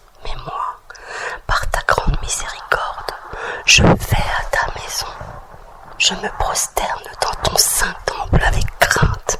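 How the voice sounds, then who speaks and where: Someone whispers at a very slow pace in a calm tone, with long, frequent pauses and noticeable background noise. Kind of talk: whispered scripture reading for relaxation. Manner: whispered, slow, calm.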